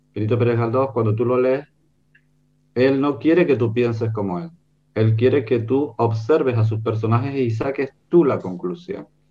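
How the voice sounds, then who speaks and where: A man's medium-pitched voice at a moderate pace, with ordinary pitch variation and an ordinary speaking voice. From Canary Islands, Gran Canaria. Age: 60s. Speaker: writer and illustrator. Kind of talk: book presentation discussion. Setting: video call.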